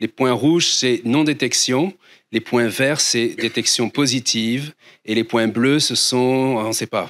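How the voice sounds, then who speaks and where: A man talks fairly slowly, his pitch moving in an ordinary way. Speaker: astronomer. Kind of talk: lecture. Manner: halting, many fillers and repeats. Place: hall. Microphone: handheld.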